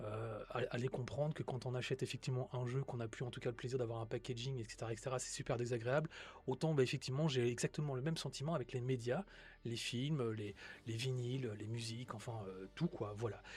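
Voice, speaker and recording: With a somewhat breathy, medium-pitched voice and fairly even intonation, a man talks at a fairly quick pace. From Belgium. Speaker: tech streamer. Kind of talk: live stream talk. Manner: hesitant, many fillers.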